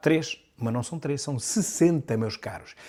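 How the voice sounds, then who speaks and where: Speaking with a European Portuguese accent, a man uses an animated tone and lively intonation at a moderate pace. The recording is very clean, with a silent background. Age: 60s. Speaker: political commentator, deputy. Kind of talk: news commentary monologue.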